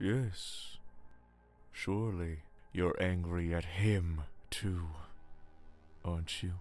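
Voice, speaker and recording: Using a put-on character voice, a man speaks with a calm tone at a very deep, low pitch, at a very slow pace with long, frequent pauses. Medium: video game. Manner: soft, calm, manipulative.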